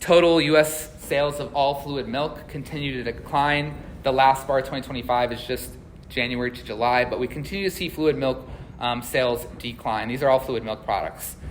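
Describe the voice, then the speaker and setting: A man of medium pitch at a fairly quick pace, with fairly even intonation and audible room echo. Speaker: agricultural economist. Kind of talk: conference presentation. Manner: fast.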